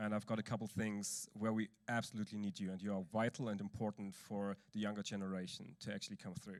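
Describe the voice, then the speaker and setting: Very fast, monotone, flat speech with an East German accent and hardly any pauses, on a very clean recording with a silent background. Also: man, fairly low pitch for a man. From eastern Germany. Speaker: church leader speaking at a conference. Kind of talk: conference talk.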